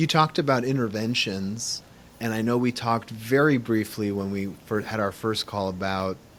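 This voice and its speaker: The pace here is moderate. It is an ordinary speaking voice, with ordinary pitch variation. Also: man, medium pitch for a man. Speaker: podcast host, therapist. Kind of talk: interview.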